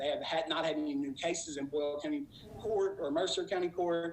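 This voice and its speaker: Noticeable background noise sits behind this man. His pitch varies in an ordinary way. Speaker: treatment program director. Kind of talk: public presentation. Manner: fast.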